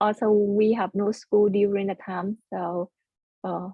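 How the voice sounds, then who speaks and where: Delivered fairly slowly with a Vietnamese accent, the speech stays monotone and flat. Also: woman. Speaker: computer science student. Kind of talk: oral history interview. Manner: halting.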